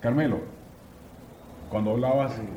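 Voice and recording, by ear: A man speaks in a dark, mellow tone. The room echo is audible.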